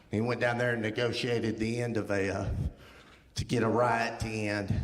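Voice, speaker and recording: A man with an American accent amid audible room echo and noticeable background noise. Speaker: guest speaker. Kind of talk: testimony. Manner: walks while talking; casual, with filler ums.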